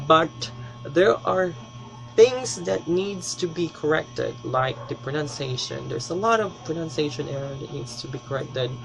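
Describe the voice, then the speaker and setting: Noticeable background noise sits behind a man whose loudness swings a lot. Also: lively intonation, moderate pace. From Philippines, Davao City. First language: Bisaya (Cebuano). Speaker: language teacher. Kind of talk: tutorial.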